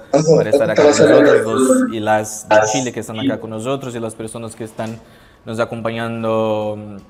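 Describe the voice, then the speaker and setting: A man with a Portuguese accent at medium pitch and moderate pace, fairly even intonation, music in the background and audible room echo. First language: Portuguese (speaking Spanish). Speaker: panel moderator. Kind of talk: conference panel opening. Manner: halting.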